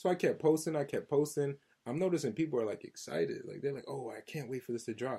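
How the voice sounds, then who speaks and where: A man with an American accent, very fast and somewhat breathy, with a fairly high pitch, ordinary pitch variation, and a dark, mellow tone. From New Jersey. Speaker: R&B singer. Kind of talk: casual interview.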